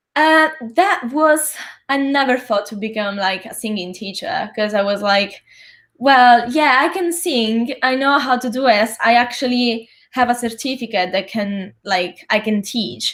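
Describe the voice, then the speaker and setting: Lively intonation from a woman with a high pitch and an Italian accent, on a very clean recording with a silent background. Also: fairly slow pace. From Italy (Sicily). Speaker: actor, singer and vocal coach. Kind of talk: interview.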